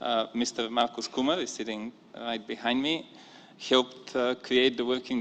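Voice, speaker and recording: A man has a normal speaking voice at medium pitch. His pace is fairly slow. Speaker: government delegate. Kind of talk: formal conference statement. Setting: conference room.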